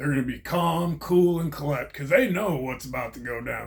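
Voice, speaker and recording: A somewhat breathy male voice at a moderate pace with ordinary pitch variation. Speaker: vlogger, former prisoner. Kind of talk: casual monologue.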